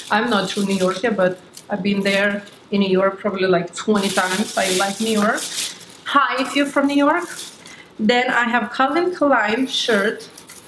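This speaker talks at a moderate pace with very even loudness, lively intonation and a slight Lithuanian accent, over noticeable background noise. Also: woman, fairly high pitch for a woman. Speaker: beauty YouTuber; haul vlogger. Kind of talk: haul video. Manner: animated. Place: home room.

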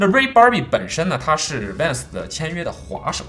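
A man is talking while faint music can be heard behind him. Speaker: product reviewer. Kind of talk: product unboxing review. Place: studio.

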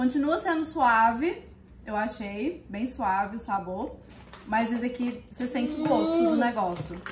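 Audible room echo and light background noise surround a woman who talks fairly slowly in a fairly high voice with lively intonation. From Minas Gerais, Brazil. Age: 20s. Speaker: vlogger. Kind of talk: casual talk to camera, food tasting. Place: kitchen. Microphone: phone near.

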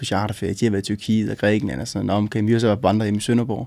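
Against a quiet background, a man with a fairly low pitch and a dark, mellow tone talks at a very fast pace with fairly even intonation. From northern Jutland, Denmark (Aalborg); northern Jutland, Denmark. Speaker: interviewee. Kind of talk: interview. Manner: hesitant, many fillers. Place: studio.

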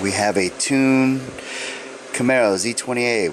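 A man is recorded with a dry sound and no echo, with noticeable background noise. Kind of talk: casual haul show-and-tell. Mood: enthusiastic. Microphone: phone near.

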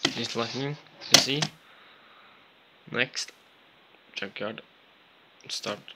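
Amid noticeable background noise, a man talks at a very slow pace with long, frequent pauses. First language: not English. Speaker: gaming youtuber. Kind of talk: tutorial. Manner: halting.

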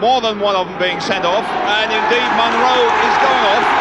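A man speaks at a moderate pace over loud background noise, and the sound is dry with no echo. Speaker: football commentator. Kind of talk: commentary.

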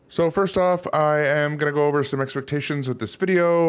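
This man speaks at a moderate pace. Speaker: channel creator. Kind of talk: casual vlog chat over slides. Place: home room. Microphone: studio mic.

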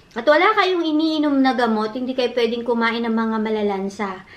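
A woman talks at a high pitch with ordinary pitch variation. She keeps a moderate pace. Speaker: vlogger. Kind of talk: casual eating vlog chat. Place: home room. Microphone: phone near.

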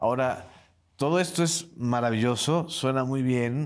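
At a fairly slow pace, a man talks with ordinary variation in pitch. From Yucatán, Mexico. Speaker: interviewer host. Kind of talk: formal interview. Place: studio. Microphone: lapel.

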